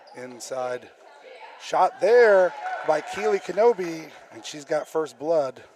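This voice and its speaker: A man with an American accent and a fairly high pitch, very slow with long, frequent pauses, big swings in loudness and noticeable background noise. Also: lively intonation. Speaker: high school sports announcer. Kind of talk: live commentary.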